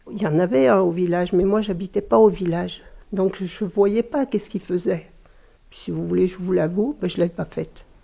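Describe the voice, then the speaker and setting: Speaking at a moderate pace and medium pitch, a woman shows vocal fry, a dark, mellow tone, ordinary pitch variation and big swings in loudness. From France, Savoie. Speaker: village mayor. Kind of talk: interview.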